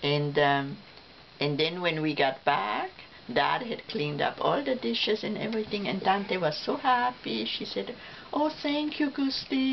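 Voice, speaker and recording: A woman with a medium pitch speaks at a fairly slow pace with very wide pitch swings amid noticeable background noise. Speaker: family elder telling life stories. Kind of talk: casual family reminiscence. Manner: halting, with fillers and restarts.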